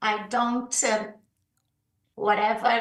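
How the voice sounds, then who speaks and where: Very slow pace with audible room echo. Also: woman. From southern Brazil. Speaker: leadership coach. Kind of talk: podcast interview.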